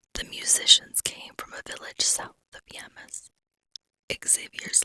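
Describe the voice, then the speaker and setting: A woman whispers at a very slow pace, with big swings in loudness. The sound is dry and close, with no echo. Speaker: storyteller. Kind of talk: fantasy story reading. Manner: whispered.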